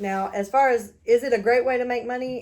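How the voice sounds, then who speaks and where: A woman with a Texas accent speaks at a moderate pace with ordinary pitch variation. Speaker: YouTuber and reseller. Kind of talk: unboxing video, casual chat. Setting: at her mother's house.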